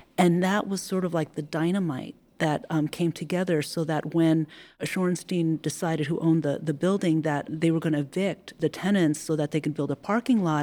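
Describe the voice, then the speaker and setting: At a moderate pace, a woman speaks in a Californian accent with a fairly low pitch, a dark, mellow tone and fairly even intonation. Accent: Californian American English. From San Francisco. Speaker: heritage foundation executive director. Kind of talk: interview about community history. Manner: hesitant with fillers.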